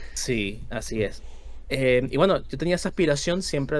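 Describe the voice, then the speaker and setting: A man speaks at a moderate pace with a Venezuelan accent. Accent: Venezuelan, kept. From Venezuela, Caracas. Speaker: history content creator. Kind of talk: casual podcast chat. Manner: halting.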